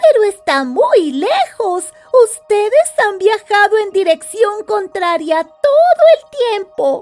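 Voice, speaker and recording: In a put-on character voice, a woman speaks at an extremely high pitch and a fairly slow pace. Faint music plays in the background. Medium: read story. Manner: polite, obliging.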